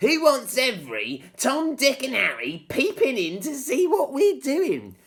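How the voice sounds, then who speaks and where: A man puts on a character voice at an extremely high pitch, talking at a fairly slow pace. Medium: read story. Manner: gruff, grumbling.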